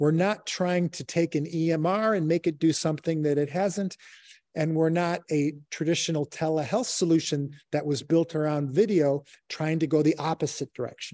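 A man with an American accent talks at a moderate pace, his pitch fairly high and his intonation fairly even. His tone is dark and mellow, and the sound is dry and close with no echo against a quiet background. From Chicago, US Midwest. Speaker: healthcare tech executive. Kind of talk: interview.

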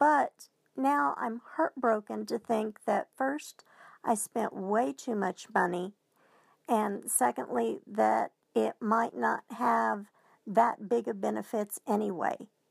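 On a very clean recording with a silent background and a dry, close sound with no echo, a woman with an American accent speaks at a very slow pace. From US, southwestern Oklahoma. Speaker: listener sending a question. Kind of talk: recorded audio question.

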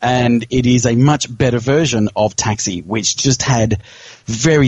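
With an Australian accent, a man speaks at a medium pitch and with ordinary pitch variation. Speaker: pinball podcast co-host. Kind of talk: casual chat.

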